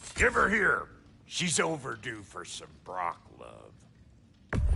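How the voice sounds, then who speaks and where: A gruff, put-on character voice from a man, at a very slow pace. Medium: video game. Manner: gruff, folksy, crude.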